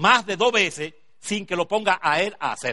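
A man speaks in a raised, projected voice with a high pitch and a bright, sharp tone. The sound is dry and close with no echo, over a quiet background. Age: 60s. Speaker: business seminar speaker. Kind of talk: motivational talk.

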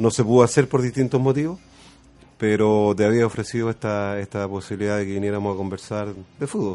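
This man's pitch is fairly low. His tone is dark and mellow, and his intonation fairly even. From Chile, San Fernando area. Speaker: former footballer, club technical manager. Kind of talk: radio interview.

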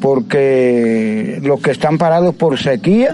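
Over noticeable background noise, a man talks with lively intonation in an eastern Cuban accent. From Cuba, Las Tunas province. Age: 70s. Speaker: water utility worker. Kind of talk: interview.

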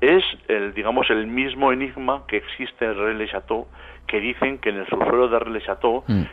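A man of medium pitch talks at a moderate pace with ordinary pitch variation amid noticeable background noise. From Matarraña, Aragon, Spain. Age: 50s. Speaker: writer and researcher. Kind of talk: interview. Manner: halting, many fillers.

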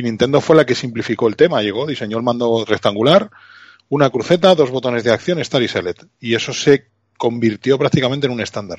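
In a normal speaking voice, a man of medium pitch talks at a fairly quick pace with ordinary pitch variation, the sound dry and close with no echo. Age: 40s. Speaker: retro technology podcaster. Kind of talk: casual chat.

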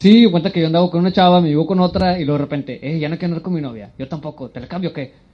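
Talking very fast with hardly any pauses, a man has a high pitch, a dark, mellow tone and ordinary pitch variation. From Mexico, Monterrey. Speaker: podcast co-host. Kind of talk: casual chat.

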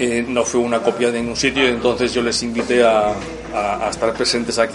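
Monotone, flat speech from a man at medium pitch, with audible room echo and noticeable background noise. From Spain, Barbastro (Aragon). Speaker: restaurant owner. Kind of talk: press presentation. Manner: hesitant, many fillers.

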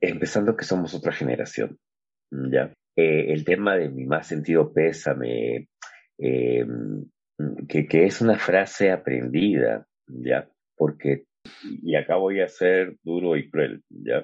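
Speaking very slowly with long, frequent pauses, a man with a very deep, low pitch uses lively intonation. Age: 40s. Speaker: psychologist and podcast host. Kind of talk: casual chat.

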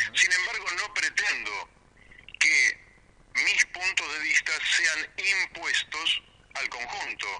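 A man talks at a very slow pace, leaving long, frequent pauses. Noticeable background noise runs under his voice. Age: 60s. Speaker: politician. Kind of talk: radio interview.

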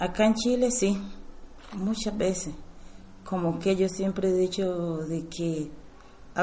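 A woman's fairly low-pitched, dark, mellow voice with a non-native accent, fairly slow pace and audible room echo. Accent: foreign accent noted. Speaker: migrant cook. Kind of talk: testimony.

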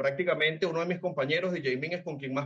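The speaker has a Venezuelan accent and ordinary pitch variation. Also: man. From Venezuela, Valencia (Carabobo). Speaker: musician guest. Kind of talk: casual chat.

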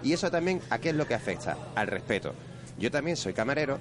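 This man talks at a very fast pace. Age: 30s. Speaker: DJ. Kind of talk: casual chat.

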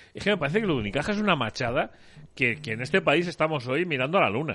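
Against a quiet background, a man talks at a very fast pace with lively intonation and a bright, sharp tone. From Almería, Andalusia, Spain. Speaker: sports radio host. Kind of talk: radio sports show.

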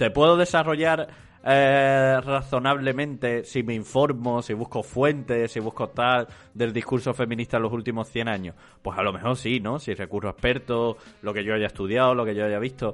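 In an Andalusian accent, a man of medium pitch talks at a moderate pace with ordinary pitch variation. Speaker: podcast host. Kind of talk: casual chat.

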